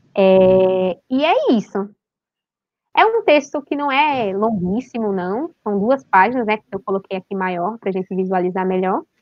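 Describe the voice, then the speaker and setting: A woman speaks at a fairly slow pace with lively intonation. Hers is an unremarkable speaking voice. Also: medium pitch for a woman. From Northeast Brazil, Recife. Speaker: language and literature teacher. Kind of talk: online literary discussion.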